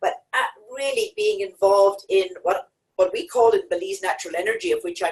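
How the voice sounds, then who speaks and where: Speaking at a moderate pace, a woman talks in an Irish accent. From Ireland. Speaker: petroleum geologist and company chair. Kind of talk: self introduction on webinar. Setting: podium in studio.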